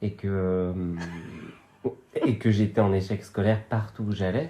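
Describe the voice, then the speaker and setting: A man's fairly low, somewhat breathy voice with a dark, mellow tone, at a fairly slow pace with ordinary pitch variation. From western France, Vendée countryside. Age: 30s. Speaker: actor and comedian. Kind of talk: casual podcast interview. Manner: hesitant, many fillers.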